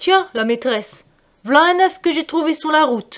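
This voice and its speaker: Woman in a high-pitched put-on character voice at a moderate pace. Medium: read story.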